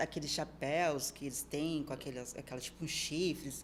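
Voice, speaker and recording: Moderate pace with ordinary pitch variation. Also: woman. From Brazil, Serra Gaúcha (Rio Grande do Sul). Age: 20s. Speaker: fitness model and nutrition student. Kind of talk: podcast interview.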